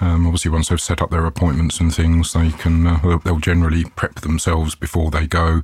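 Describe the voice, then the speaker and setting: Here a man talks with a British accent. His voice is very deep, low and somewhat breathy. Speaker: IT manager. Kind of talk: casual interview chat.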